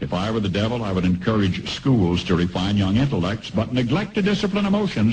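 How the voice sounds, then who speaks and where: A man with an American accent, fairly low pitch, lively intonation, a somewhat breathy voice and a moderate pace. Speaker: radio commentator. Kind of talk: radio commentary.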